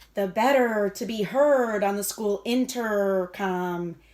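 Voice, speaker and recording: A woman puts on a growling character voice at a medium pitch. She speaks at a fairly slow pace. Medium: read story.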